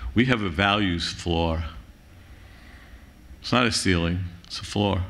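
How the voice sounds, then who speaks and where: A man with a Bronx accent talks at a moderate pace in a bright, sharp tone with ordinary pitch variation, and room echo is audible. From New York City (Bronx). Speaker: conference speaker, university center director. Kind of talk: closing plenary remarks. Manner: animated, impassioned.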